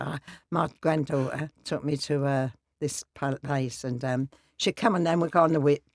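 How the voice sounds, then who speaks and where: A woman talks with a Cockney accent. Her pitch is very deep and low. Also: dry, close sound with no echo. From East London. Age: 80s+. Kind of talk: interview answer. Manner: blunt, lively.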